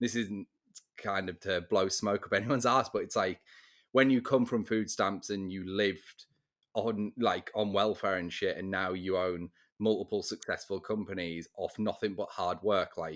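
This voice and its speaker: At a moderate pace, a man with a fairly low pitch speaks with fairly even intonation in a very clean recording with a silent background. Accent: English. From England. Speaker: real estate podcast host. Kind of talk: casual chat.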